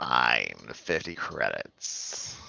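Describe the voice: A man puts on a character voice, raspy and growling.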